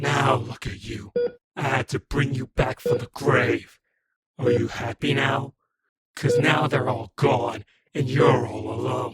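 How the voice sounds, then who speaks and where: In a put-on character voice, a man growls at a medium pitch and a fairly slow pace. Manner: mocking.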